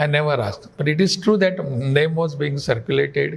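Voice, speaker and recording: A man's fairly high voice, somewhat breathy, keeps a moderate tempo and shows ordinary pitch variation. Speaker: state governor, politician. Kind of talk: interview answer. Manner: soft-spoken.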